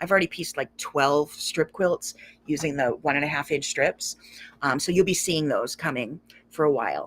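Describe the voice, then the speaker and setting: A raspy, put-on character voice speaks at a moderate pace and a middle pitch. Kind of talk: casual, chatty. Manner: talking fast.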